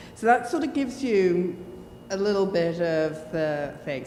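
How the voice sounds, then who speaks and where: Fairly slow and with an English accent, a woman speaks amid noticeable background noise and audible room echo. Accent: very English. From Jersey, Channel Islands. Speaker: church panelist. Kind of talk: personal testimony at forum. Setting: church hall with handheld microphone.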